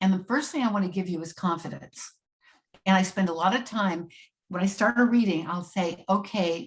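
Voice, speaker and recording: A woman's somewhat breathy voice at a medium pitch, with ordinary pitch variation and a moderate pace. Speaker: astrologer and psychic. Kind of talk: interview conversation.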